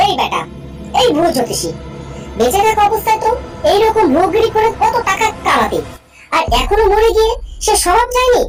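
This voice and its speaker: Over clear music in the background, a cartoonish character voice that sounds female squeaks at an extremely high pitch for a woman, at a moderate pace. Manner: teasing, bossy.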